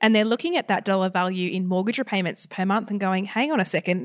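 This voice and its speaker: With an Australian accent, a woman talks at medium pitch with ordinary pitch variation in a dry, close sound with no echo. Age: 20s. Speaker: buyer's advocate. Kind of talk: interview.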